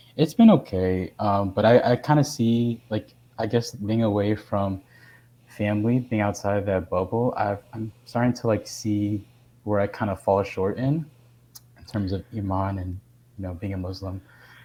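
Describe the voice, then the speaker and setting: A man with an American accent, fairly low in pitch, at a moderate pace with fairly even intonation. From Texas, Houston. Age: 20s. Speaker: navy sailor. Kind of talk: casual interview chat. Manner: halting, many fillers.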